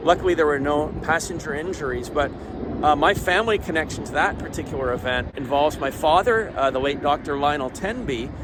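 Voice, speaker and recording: A man speaks at a moderate pace in a fairly high pitch with ordinary pitch variation while music plays in the background. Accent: Canadian. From Canada. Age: 60s. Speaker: aviation vlogger. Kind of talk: on-location report. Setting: outdoors. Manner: halting.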